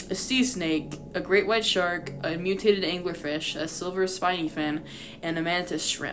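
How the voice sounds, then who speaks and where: A woman's fairly low voice at a moderate pace, with ordinary pitch variation and music in the background. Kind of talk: reading a fan lore document aloud. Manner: stutters while reading.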